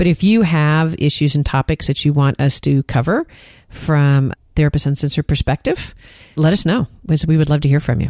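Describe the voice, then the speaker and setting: Speaking with an American accent at a fairly quick pace, a woman has a very deep, low pitch, a dark, mellow tone, ordinary pitch variation and very even loudness, in a dry, close sound with no echo. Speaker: therapist and podcast co-host. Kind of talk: casual chat.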